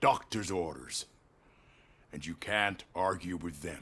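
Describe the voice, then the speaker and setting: A man puts on a raspy character voice with a very deep, low pitch. He speaks at a fairly slow pace with fairly even intonation. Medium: video game. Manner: smooth, courteous, veiled.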